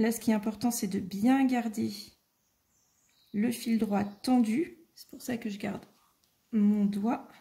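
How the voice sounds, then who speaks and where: A soft-spoken woman talks at a very slow pace with long, frequent pauses, her fairly high, somewhat breathy voice dark and mellow in tone, with fairly even intonation. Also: big swings in loudness. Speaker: craft tutorial maker. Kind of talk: tutorial.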